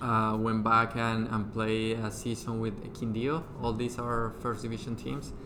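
Audible room echo surrounds a man with a Spanish accent speaking at medium pitch. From Colombia. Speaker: former professional footballer. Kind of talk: casual interview. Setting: studio.

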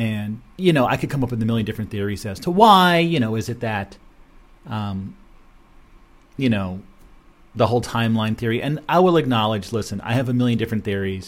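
A man with a medium-pitched voice talks at a fairly quick pace with lively intonation. The recording is very clean, with a silent background. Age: 50s. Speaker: radio show host. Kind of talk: solo monologue. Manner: halting.

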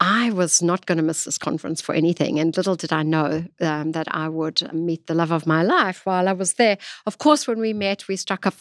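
Over a silent background in a very clean recording, a woman with an American accent speaks at a moderate pace in a fairly low pitch, her loudness swinging widely. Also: dry, close sound with no echo. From South Africa. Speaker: gemstone industry sales and marketing executive. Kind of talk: podcast interview. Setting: studio. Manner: animated.

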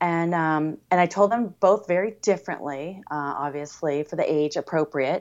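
The speaker has a Californian accent and talks at a moderate pace. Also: woman, fairly low pitch for a woman, ordinary pitch variation, hardly any pauses. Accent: General American (Californian). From US West Coast (San Diego area, California). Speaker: blind blogger and fitness instructor. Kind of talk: casual interview.

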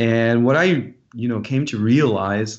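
With a French accent, a man is talking. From France, Dijon. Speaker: rock musician. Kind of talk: interview.

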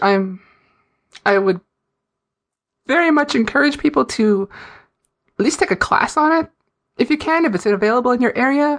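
Her pitch high and swinging very widely, a woman talks at a moderate pace. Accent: American. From Fargo, North Dakota. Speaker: indie gamer and writer.

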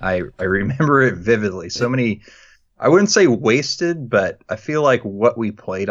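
Using lively intonation at a moderate pace, a man speaks in an ordinary speaking voice. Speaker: guest sports talker. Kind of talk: casual chat.

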